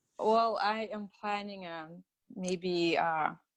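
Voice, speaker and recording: A woman speaks with a Russian accent. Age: 30s. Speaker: patient sharing recovery story. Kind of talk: interview testimony.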